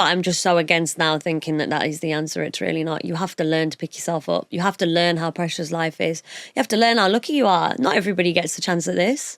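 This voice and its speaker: Speaking at a very fast pace with hardly any pauses, a woman uses a fairly low pitch, ordinary pitch variation and vocal fry. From northern England, Punjabi household. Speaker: broadcaster and DJ. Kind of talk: interview chat.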